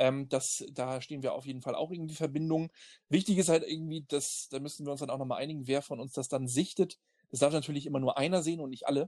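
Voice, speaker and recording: Against a quiet background, a man with a fairly high pitch and a dark, mellow tone talks at a very fast pace with fairly even intonation. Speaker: podcast co-host. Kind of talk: casual chat.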